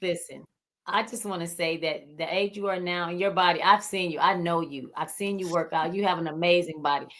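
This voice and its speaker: At a fairly quick pace, a woman talks in a plain, everyday voice that is fairly low in pitch, with fairly even intonation. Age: 60s. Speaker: fitness enthusiast. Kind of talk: interview. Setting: livestream.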